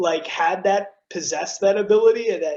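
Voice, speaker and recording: This man has a high voice and a slight East Coast accent. His intonation is lively and his pace moderate. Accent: faint East Coast. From South Jersey (Cherry Hill), near Philadelphia. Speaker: TV news broadcaster. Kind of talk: casual interview chat. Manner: animated.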